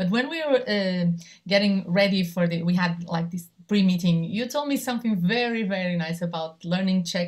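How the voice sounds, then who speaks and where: A somewhat breathy woman at a moderate pace with ordinary pitch variation. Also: medium pitch for a woman. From Portugal. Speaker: television journalist, moderator. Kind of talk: panel discussion.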